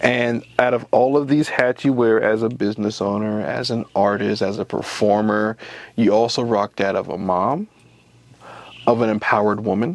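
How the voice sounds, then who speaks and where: At a moderate pace, a man uses an ordinary speaking voice at medium pitch with fairly even intonation. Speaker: interviewer. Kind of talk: interview questions.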